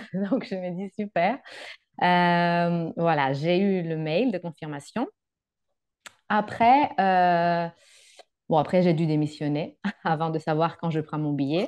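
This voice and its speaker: A woman's very slow, fairly low-pitched speech with long, frequent pauses, ordinary pitch variation and a quiet background. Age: 30s. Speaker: working holiday traveller, psychologist; guest. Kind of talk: interview. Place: home room. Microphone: video call.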